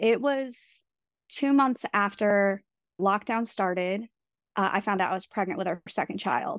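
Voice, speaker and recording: With an American accent and a normal speaking voice, a woman talks at a moderate pace and medium pitch, her pitch varying in an ordinary way, recorded dry and close with no echo against a quiet background. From New York. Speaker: guest sharing pregnancy loss story. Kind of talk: personal testimony in casual interview. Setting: remote call.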